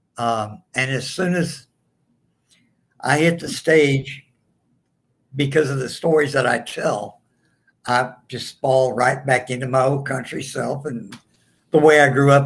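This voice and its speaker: In a strong Southern US accent, the speaker talks at a fairly slow pace with fairly even intonation. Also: man. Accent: strong rural Southern. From southeast Texas, earlier Louisiana. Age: 60s. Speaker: comedian. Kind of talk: interview.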